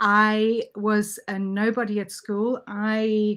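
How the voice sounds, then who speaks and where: On a very clean recording with a silent background, a woman speaks at a very slow pace in a fairly high pitch. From South Africa. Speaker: network marketer, former dentist. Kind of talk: interview.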